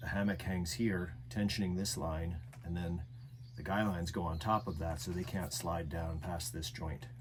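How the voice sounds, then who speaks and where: The voice carries lively intonation and vocal fry. It moves at a moderate pace. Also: man, very deep, low pitch for a man. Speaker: outdoor gear maker. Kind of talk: product assembly tutorial. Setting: small indoor room. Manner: hesitant, many fillers.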